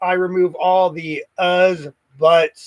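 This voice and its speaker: The sound is dry and close, with no echo. A man speaks at a high pitch. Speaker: car restoration youtuber. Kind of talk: casual livestream chat. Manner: stutters, hesitant fillers.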